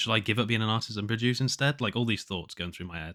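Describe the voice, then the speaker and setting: On a very clean recording with a silent background, a man speaks with a fairly low pitch and a bright, sharp tone. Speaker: solo podcaster and indie musician. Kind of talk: casual diary monologue. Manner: halting, many fillers and restarts.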